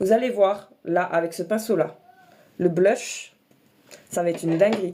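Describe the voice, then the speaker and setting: Noticeable background noise beneath a woman's fairly even intonation. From eastern France, Alsace and Franche-Comté. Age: 30s. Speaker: makeup content creator. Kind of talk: casual livestream chat and makeup tutorial.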